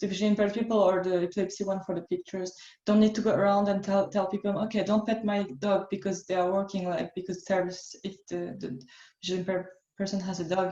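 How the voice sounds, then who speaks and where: A woman with a French accent at a medium pitch, very fast, with monotone, flat intonation and a dark, mellow tone. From France. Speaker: workshop facilitator. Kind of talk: online workshop.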